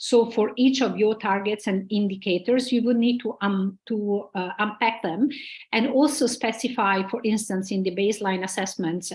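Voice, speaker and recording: Somewhat breathy, a woman talks at a moderate pace with ordinary pitch variation. The recording is very clean, with a silent background. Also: fairly high pitch for a woman. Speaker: conference speaker on gender inclusion. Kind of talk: conference presentation.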